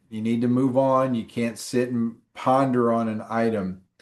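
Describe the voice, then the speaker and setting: With fairly even intonation and a medium pitch, a man speaks in a plain, everyday voice. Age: 60s. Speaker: exam prep instructor. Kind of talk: online class.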